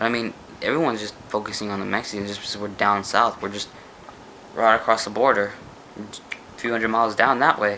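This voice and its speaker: Against noticeable background noise, a man speaks in a fairly low pitch. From United States. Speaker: vlogger. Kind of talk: casual monologue vlog. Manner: animated.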